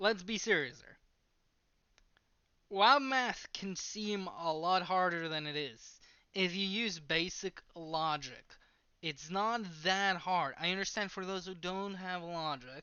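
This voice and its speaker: A woman speaks with a non-native accent at a medium pitch. Her pace is very slow, and her pitch varies in an ordinary way. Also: big swings in loudness. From outside the US. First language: not English. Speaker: math explainer / vlogger. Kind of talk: tutorial. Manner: halting.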